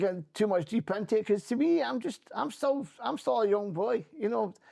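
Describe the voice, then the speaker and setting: A man with a Scottish accent, high in pitch, at a fairly quick pace. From Scotland. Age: 60s. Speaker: former politician and trade union rep. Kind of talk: interview conversation.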